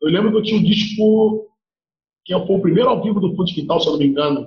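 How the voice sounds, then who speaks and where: A man's voice, high in pitch. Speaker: percussionist. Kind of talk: interview. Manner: animated.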